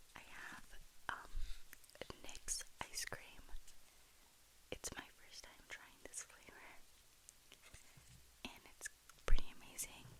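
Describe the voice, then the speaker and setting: A woman whispers at a very slow pace, leaving long, frequent pauses. Her loudness swings widely. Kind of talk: ASMR snack rambling. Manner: soft-spoken.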